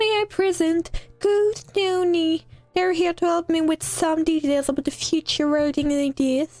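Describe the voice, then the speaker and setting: Using a put-on character voice, a woman speaks at an extremely high pitch and a moderate pace. The sound is dry and close with no echo, and faint music plays in the background. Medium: solo performance.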